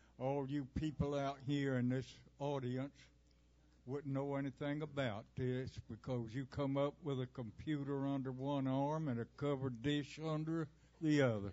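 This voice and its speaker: A man with a Southern US accent, fairly high pitch, fairly even intonation and a moderate pace. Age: 90s. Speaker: performer, recitation artist. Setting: stage with live audience.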